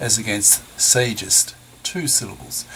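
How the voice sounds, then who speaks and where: Amid noticeable background noise, a man speaks at a moderate pace with a medium pitch and lively intonation. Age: 70s. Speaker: retired professor reading his own essays. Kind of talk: reading aloud.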